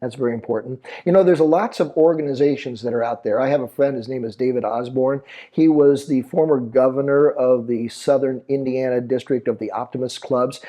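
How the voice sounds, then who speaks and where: Speaking at a fairly quick pace with hardly any pauses, a man with an American accent keeps a medium pitch and fairly even intonation. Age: 60s. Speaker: teacher and author. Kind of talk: interview. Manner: halting.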